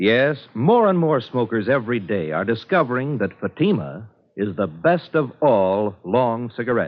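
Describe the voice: A man at medium pitch makes big pitch swings as he speaks. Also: moderate pace.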